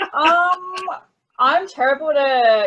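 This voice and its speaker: A high-pitched woman's voice with an Australian accent and very wide pitch swings. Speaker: interview guest.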